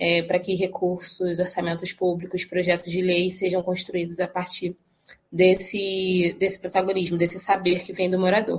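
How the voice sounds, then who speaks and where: The delivery is monotone and flat, at a moderate pace. The voice is somewhat breathy. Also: woman. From Rio de Janeiro, Brazil. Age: 20s. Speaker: social organization director. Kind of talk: podcast interview.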